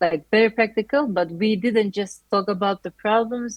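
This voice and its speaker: A woman with a Turkish accent speaks at a moderate pace with ordinary pitch variation, in a dry, close sound with no echo and a quiet background. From Turkey. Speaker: master's student. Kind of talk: interview.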